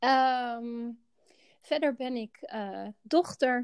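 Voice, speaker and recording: In a dry, close sound with no echo, a woman talks at a high pitch. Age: 40s. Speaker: healthcare director. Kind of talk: personal interview. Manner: halting.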